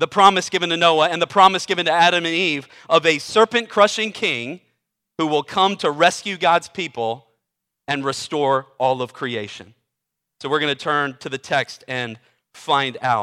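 A man's fairly high voice with a bright, sharp tone and lively intonation, at a moderate pace, dry and close with no echo. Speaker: preacher. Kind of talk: sermon. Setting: church.

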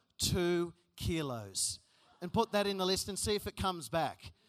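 A man with an Australian accent uses a raised, projected voice with an animated, bright, sharp tone. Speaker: youth conference speaker. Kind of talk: sermon.

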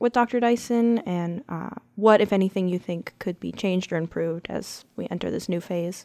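On a very clean recording with a silent background, a woman of medium pitch speaks at a moderate pace with a dark, mellow tone and fairly even intonation. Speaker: newspaper education reporter and podcast host. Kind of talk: interview.

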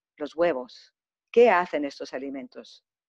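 At a very slow pace and with ordinary pitch variation, the voice comes through with a dry, close sound with no echo against a quiet background. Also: woman. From Germany and Greece, Greek parents. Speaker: macrobiotic chef and cooking teacher. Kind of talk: interview.

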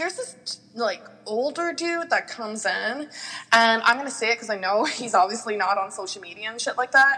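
There is noticeable background noise behind this woman. She has a high pitch and lively intonation. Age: 20s. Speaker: exotic dancer. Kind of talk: casual interview chat. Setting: remote recording, not face to face. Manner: enthusiastic.

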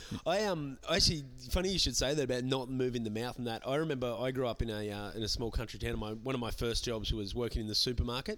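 Speaking at a very fast pace in an Australian accent, a man uses a medium pitch and ordinary pitch variation. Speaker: podcast host, comedian. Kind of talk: casual chat. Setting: comedy club venue.

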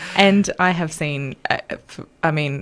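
Noticeable background noise accompanies a woman with an Australian accent who speaks at a very slow pace and a fairly low pitch. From Australia, north coast of New South Wales. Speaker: guest with polyamory experience. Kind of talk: casual interview chat.

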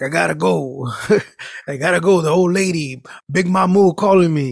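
Using a put-on character voice, a man talks at a moderate pace in a gravelly, fairly high pitch.

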